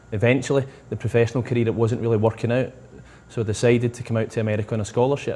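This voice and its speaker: Speaking with a Scottish accent, a man has a medium pitch. He goes at a very fast pace with monotone, flat intonation. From Scotland. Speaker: soccer coach. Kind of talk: interview.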